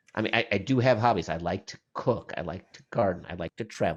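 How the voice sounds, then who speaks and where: A man speaks at a fairly quick pace. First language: not English. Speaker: tech professional, podcast guest. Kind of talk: casual interview chat. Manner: halting, many repeated words.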